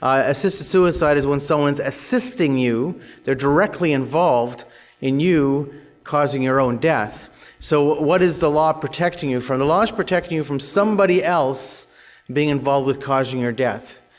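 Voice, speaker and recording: In audible room echo, a man with a Canadian accent talks at a fairly high pitch with ordinary pitch variation. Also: moderate pace. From Canada. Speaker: conference speaker, advocacy organization leader. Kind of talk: conference presentation.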